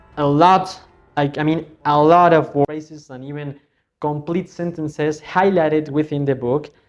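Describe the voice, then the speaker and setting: A man speaks at a moderate pace. His intonation stays monotone and flat. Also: fairly high pitch for a man, big swings in loudness. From Mexico. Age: 20s. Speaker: English teacher. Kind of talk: casual book review to camera. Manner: casual, hesitant.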